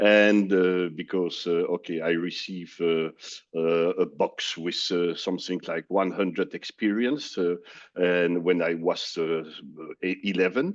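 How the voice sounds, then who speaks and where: A man with a French accent speaks fairly slowly at a very deep, low pitch, with fairly even intonation. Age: 60s. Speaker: business executive. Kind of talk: interview. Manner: halting, many fillers.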